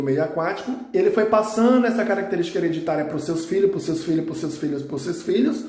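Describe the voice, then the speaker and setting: Over noticeable background noise and audible room echo, a man speaks at a high pitch with normal variation. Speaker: biology teacher. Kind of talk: recorded lesson. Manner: fast.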